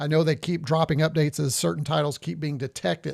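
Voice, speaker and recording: At a very fast pace, a man with a fairly high pitch talks with ordinary pitch variation. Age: 60s. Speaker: retro gaming YouTuber. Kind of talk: live stream gameplay commentary. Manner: casual, hesitant with many fillers.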